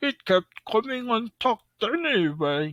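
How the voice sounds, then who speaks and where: A put-on character voice at a fairly high pitch moves through very wide pitch swings. The delivery comes at a fairly slow pace. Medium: read story. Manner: cheerful, good-natured.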